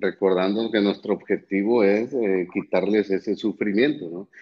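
Talking at a fairly slow pace, a man keeps his pitch fairly low. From Mexico, Monterrey. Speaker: neurologist and professor. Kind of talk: live-streamed interview.

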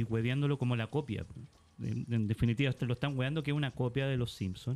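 Talking very fast, a man shows ordinary pitch variation. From Iquique, northern Chile. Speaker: poet and writer. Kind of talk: casual chat. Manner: halting.

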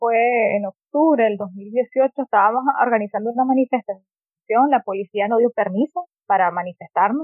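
A woman talks at a fairly slow pace in a fairly high voice, with ordinary pitch variation. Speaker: economist and human rights activist. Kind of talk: interview conversation.

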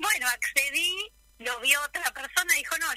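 In a raised, projected voice with very wide pitch swings, the speaker sounds dry and close with no echo. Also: woman. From Buenos Aires, Argentina. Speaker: retired kindergarten teacher and painter. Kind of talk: radio interview.

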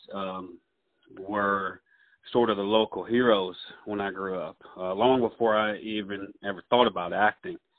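In a Southern US accent, a man talks at a moderate pace with a fairly low pitch, flat monotone intonation, and long, frequent pauses. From US South. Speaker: actor. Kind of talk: casual interview.

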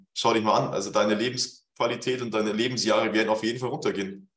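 Very fast-paced man with audible room echo. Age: 20s. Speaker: fitness coach. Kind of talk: casual chat.

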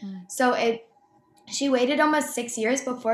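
A woman with an American accent, fairly high-pitched, at a moderate pace with fairly even intonation, in a normal speaking voice. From US Northeast (Boston area). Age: 20s. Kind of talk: interview, personal testimony.

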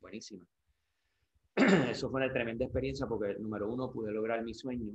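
This man has an ordinary speaking voice, pitched fairly low. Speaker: surfer and surf brand sales representative. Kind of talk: interview. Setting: at his home.

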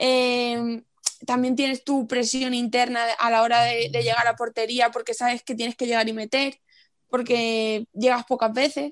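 A woman's high-pitched voice at a fairly slow pace, with monotone, flat intonation and a dry, close sound with no echo. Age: 20s. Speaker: futsal player. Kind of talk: interview.

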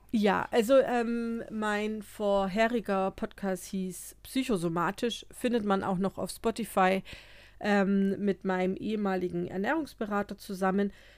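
In a very clean recording with a silent background, a woman speaks fairly slowly at medium pitch with fairly even intonation. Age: 30s. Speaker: psychotherapist and podcast co-host. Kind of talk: casual chat.

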